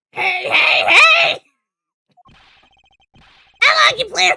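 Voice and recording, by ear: Pitched extremely high, this is a put-on character voice.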